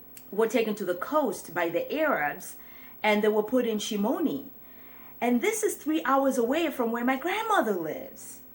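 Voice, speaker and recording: High-pitched woman with an East African accent, very wide pitch swings and a moderate pace. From Mombasa, Kenya. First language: Swahili. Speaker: career coach. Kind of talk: casual talk to camera.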